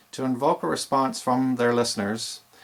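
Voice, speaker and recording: A man's medium-pitched voice, enthusiastic in tone, at a moderate pace. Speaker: DJ instructor. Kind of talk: tutorial. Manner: enthusiastic, projected voice.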